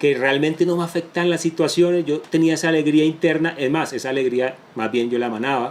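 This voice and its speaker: A man's fairly high voice shows ordinary pitch variation, set against noticeable background noise. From Colombia, Caribbean coast (Barranquilla), moved to Bogotá at ten. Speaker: entrepreneur. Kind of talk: interview testimony.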